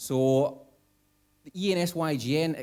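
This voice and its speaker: A man speaks with a Scottish accent and ordinary pitch variation. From Scotland. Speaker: conference speaker, young nuclear professionals network chair. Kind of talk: conference talk. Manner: hesitant with many fillers.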